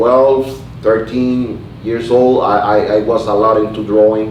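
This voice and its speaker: Noticeable background noise and audible room echo around a man's fairly slow speech. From Puerto Rico. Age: 30s. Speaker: artist and barber. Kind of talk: oral history interview. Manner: halting, many fillers and repetitions.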